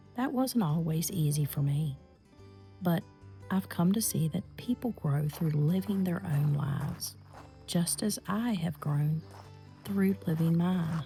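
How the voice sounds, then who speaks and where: A woman with a very deep, low pitch, a calm, gentle tone, very wide pitch swings, very even loudness and long, frequent pauses, with music in the background. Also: fairly slow pace. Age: 50s. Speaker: lifestyle reflection vlogger. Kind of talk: reflective personal talk.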